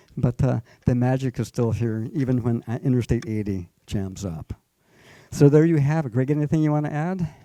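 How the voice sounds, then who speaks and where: Speaking at a moderate pace with an American accent, a man uses lively intonation in a dark, mellow, medium-pitched voice, recorded dry and close with no echo. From Northern California. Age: 70s. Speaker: family historian speaker. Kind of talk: public talk to local audience.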